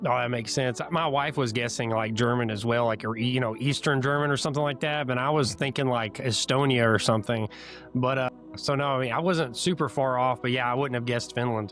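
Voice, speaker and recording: Against music in the background, a man with an American accent speaks at a fairly quick pace and a medium pitch, with fairly even intonation and very even loudness. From Central US. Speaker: YouTuber, interview host. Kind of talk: casual interview.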